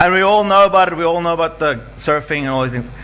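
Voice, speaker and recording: Over noticeable background noise and audible room echo, a man talks with lively intonation. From South Africa, Western Cape (Rawsonville). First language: not English (Greek family; English is third language). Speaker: adventure runner and event speaker. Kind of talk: motivational talk. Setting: stage with audience.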